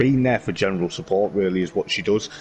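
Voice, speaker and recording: The speaker goes at a fairly quick pace while noticeable background noise plays behind. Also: man. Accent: West Midlands. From West Midlands, England. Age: 30s. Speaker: motorsport vlogger and sim racing driver. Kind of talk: casual interview chat.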